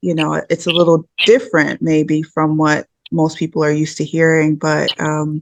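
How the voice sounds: Soft-spoken and carrying vocal fry, the voice moves at a fairly slow pace with monotone, flat intonation. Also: woman.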